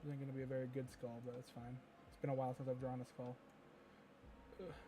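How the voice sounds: With a dark, mellow tone, a man speaks fast at a medium pitch and with little pitch movement.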